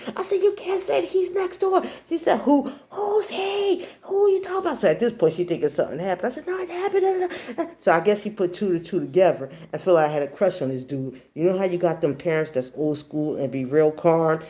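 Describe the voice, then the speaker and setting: Noticeable background noise is audible as a woman rushes through her words at a very fast pace. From New Jersey. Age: 40s. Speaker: vlogger. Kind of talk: personal storytelling. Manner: animated.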